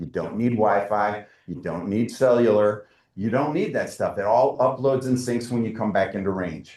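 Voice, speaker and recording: The man's voice sits at a medium pitch with ordinary pitch variation. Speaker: presenter at a forestry council meeting. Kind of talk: presentation with slides. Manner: fast.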